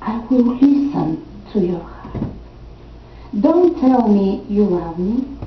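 With audible room echo, a woman speaks at a very slow pace, her pitch swinging very widely. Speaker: poet and program director. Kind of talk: poetry reading to an audience. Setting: senior center event with audience. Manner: slow, gentle, tender, with soft pauses; warm, intimate, sometimes laughing. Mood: calm, reflective. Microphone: podium.

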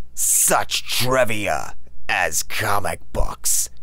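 The speaker is a man. Noticeable background noise can be heard behind him. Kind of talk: audiobook promo read. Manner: serious.

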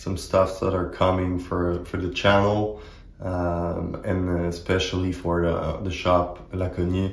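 A man with a very deep, low pitch speaks at a very slow pace in a somewhat breathy, monotone voice with flat intonation. Audible room echo fills the recording. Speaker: axe hobby channel host. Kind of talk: casual vlog chat. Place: home room.

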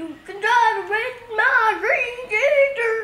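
In a put-on character voice with a Southern US accent, the speaker goes very slowly at an extremely high pitch, and an echo is audible. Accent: Southern American.

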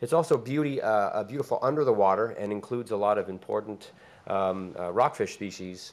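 A plain, everyday voice: a man with fairly low pitch, lively intonation and a moderate pace. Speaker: fisheries researcher; conference presenter. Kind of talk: conference presentation. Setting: stage with audience. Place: meeting room. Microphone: podium.

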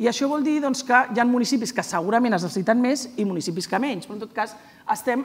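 A woman with a fairly high voice talks very fast, her intonation lively. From Catalonia. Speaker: provincial sports councillor. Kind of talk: panel discussion. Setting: stage with audience. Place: stage.

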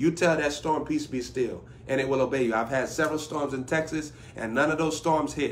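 Moderate pacing from a male speaker. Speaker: preacher. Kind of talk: sermon. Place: home room. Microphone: phone near.

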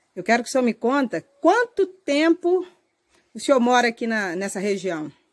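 Her voice high-pitched, a woman speaks with very wide pitch swings in a dry, close sound with no echo. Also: moderate pace. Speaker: rural life vlogger. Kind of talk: casual interview and house tour. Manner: enthusiastic.

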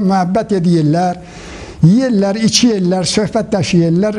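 A man with a high voice speaks at a fairly slow pace, his pitch moving in an ordinary way over noticeable background noise. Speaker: elderly exile. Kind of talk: interview testimony. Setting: senior citizens' coffee house.

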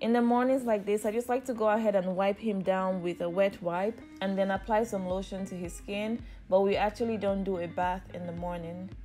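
Fairly quick, fairly even-toned speech from a woman over faint background music. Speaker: mother vlogger. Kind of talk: casual vlog narration. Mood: warm, gentle. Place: home room.

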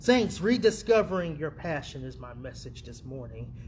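Light background noise is present. A man talks over it. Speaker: preacher. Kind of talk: sermon and prayer. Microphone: phone near.

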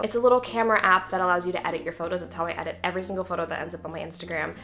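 A bright, sharp tone with vocal fry and light background noise. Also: woman. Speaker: actress. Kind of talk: casual Q&A talk to camera. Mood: friendly, animated. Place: home room.

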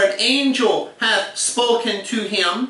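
In a raised, projected voice, a man speaks amid audible room echo. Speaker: bible teacher. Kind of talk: scripture reading in a lesson.

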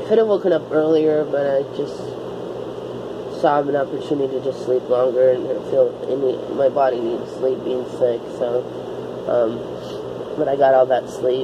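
Over noticeable background noise, a woman speaks at a moderate pace with ordinary pitch variation and long, frequent pauses. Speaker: vlogger. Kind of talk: casual vlog chat. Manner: weak, drowsy, sick-sounding slow voice. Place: home room. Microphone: phone near.

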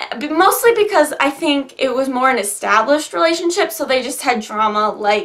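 A woman's high, bright, sharp voice with lively intonation at a moderate pace. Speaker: book vlogger. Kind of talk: casual vlog chat. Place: home room. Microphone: phone near.

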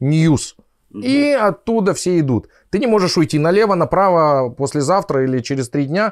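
At a moderate pace, a man talks with very wide pitch swings on a very clean recording with a silent background. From Siberia, Russia (Krasnoyarsk). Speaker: anesthesiologist. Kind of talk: casual interview chat.

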